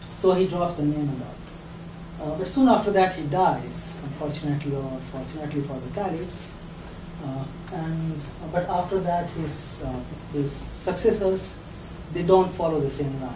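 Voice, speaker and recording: With an Indian accent and a fairly high pitch, a man speaks at a moderate pace with ordinary pitch variation, long, frequent pauses and big swings in loudness, amid audible room echo and noticeable background noise. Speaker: lecturer. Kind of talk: lecture. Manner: hesitant, many fillers and repeats.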